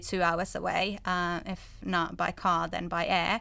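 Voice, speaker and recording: Monotone, flat intonation and a bright, sharp tone in a Finnish accent, on a very clean recording with a silent background. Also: woman. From Finland. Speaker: PhD student. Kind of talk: panel discussion.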